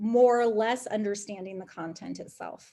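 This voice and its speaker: An unremarkable speaking voice at a moderate pace, with ordinary pitch variation and a quiet background. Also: woman. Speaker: education program manager and teacher. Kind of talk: webinar presentation.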